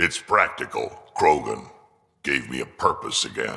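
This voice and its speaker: A man performs in a put-on character voice. He keeps a moderate pace. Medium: video game. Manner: gruff, laid-back.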